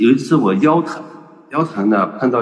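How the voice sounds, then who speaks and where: A man speaks at moderate speed while music plays in the background. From northern China, Shanxi (Datong, Hunyuan). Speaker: doctor and healthcare businessman. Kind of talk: online panel talk. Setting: video call.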